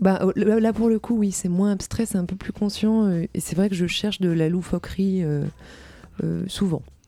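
This woman has a normal speaking voice with fairly even intonation. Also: medium pitch for a woman, fairly slow pace. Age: young. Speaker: singer-songwriter. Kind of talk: interview. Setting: studio.

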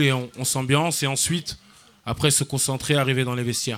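A man with a fairly high pitch speaks in a flat, monotone way. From France, Paris and Seine-Saint-Denis suburbs. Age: 20s. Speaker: football coach. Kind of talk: radio interview. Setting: live outdoor event broadcast.

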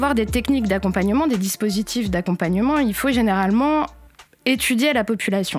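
A woman's a normal speaking voice, fairly high in pitch and fairly quick, at very even loudness. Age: 30s. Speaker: education researcher. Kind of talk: interview explanation. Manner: formal.

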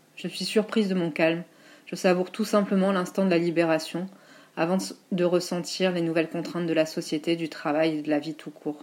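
With a plain, everyday voice, a woman speaks at a fairly low pitch and a fairly quick pace with fairly even intonation. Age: 40s. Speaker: teacher and writing collective founder. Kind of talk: reading aloud.

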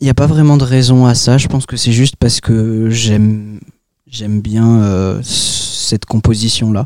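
A man speaks at a fairly slow pace with a medium pitch. His intonation stays fairly even. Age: young. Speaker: comic book author. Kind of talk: interview. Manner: hesitant, many filler sounds.

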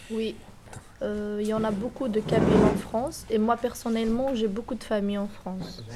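A fairly high-pitched woman's voice with fairly even intonation, set against noticeable background noise. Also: moderate pace. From Algeria, Kabylie (Tizi Ouzou). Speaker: student. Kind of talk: recorded interview.

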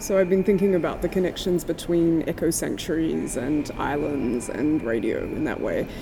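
Over noticeable background noise, a woman with a fairly low pitch and lively intonation talks at a moderate pace. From Tasmania, Australia. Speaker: sound artist. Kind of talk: interview. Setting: gallery.

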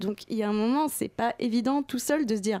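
Her voice fairly high, a woman speaks with a dark, mellow tone and ordinary pitch variation. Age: 20s. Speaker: book programmer and former journalist. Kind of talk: interview.

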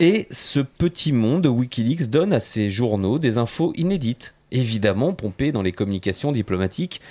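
The recording is very clean with a silent background. A man speaks at medium pitch, in a dark, mellow tone with lively intonation. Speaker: radio columnist. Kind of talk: prepared radio portrait. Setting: radio studio. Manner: loud.

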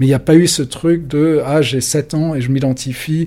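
The man's pitch sits fairly high, and his intonation stays fairly even. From France, adolescence in London. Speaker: magazine journalist and editor. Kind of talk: casual interview. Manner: hesitant, many fillers.

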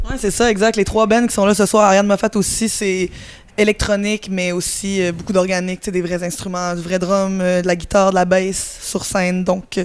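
Speaking with a Quebec accent, a woman keeps a medium pitch, a moderate pace and fairly even intonation. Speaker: musician. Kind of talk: interview. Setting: music festival.

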